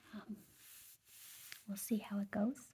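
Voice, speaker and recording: A soft-spoken woman's voice, somewhat breathy and fairly high in pitch. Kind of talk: ASMR haul video, casual rambling to camera.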